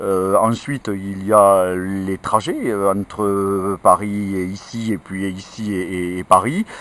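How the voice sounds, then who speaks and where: At a very slow pace with hardly any pauses, a man with a fairly low pitch speaks in monotone, flat intonation. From France, Ariège. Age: 50s. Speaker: politician. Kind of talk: interview. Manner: hesitant, many filler sounds.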